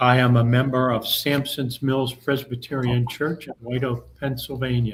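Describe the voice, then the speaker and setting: A medium-pitched man's voice with an American accent, monotone, flat intonation, and a fairly slow pace. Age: 60s. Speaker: church youth volunteer, panelist. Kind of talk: panel self-introduction. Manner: halting, many fillers.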